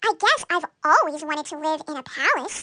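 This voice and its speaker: A woman puts on a squeaky character voice at an extremely high pitch, talking at a moderate pace. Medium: read story. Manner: wondering, innocent.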